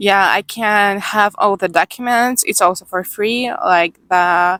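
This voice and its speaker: A woman in a Ukrainian accent speaks at a fairly slow pace with a medium pitch and fairly even intonation, in a very clean recording with a silent background and a dry, close sound with no echo. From Ukraine, Odessa. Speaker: Ukrainian newcomer worker. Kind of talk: interview. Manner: halting.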